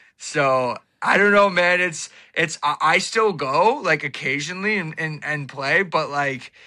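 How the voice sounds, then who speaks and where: A man speaks fairly slowly in a fairly high, bright, sharp voice with an animated tone and ordinary pitch variation. The recording is very clean, with a silent background. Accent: Ontario. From Ontario, Canada. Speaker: podcaster and social media personality. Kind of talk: casual chat.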